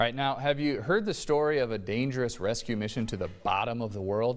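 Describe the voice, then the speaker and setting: At a fairly quick pace, a man uses a plain, everyday voice with medium pitch and ordinary pitch variation. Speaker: news anchor. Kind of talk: TV news report.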